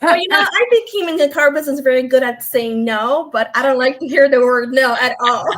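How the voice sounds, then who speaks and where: Over noticeable background noise, a woman with a high pitch talks at a fairly quick pace with lively intonation and hardly any pauses. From Europe. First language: non-English European language. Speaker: former car dealership owner. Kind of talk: interview. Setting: live stream.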